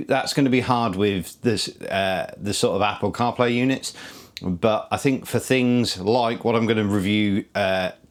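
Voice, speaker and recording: A man with a British accent speaks fairly slowly, his medium pitch held in fairly even intonation. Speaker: motorcycle vlogger. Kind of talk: product review. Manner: halting, many fillers.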